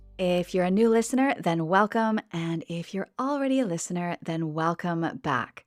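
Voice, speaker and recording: This woman has an unremarkable speaking voice, fairly low in pitch. Her intonation is lively and her pace moderate. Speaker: podcast host. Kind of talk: English-learning podcast narration.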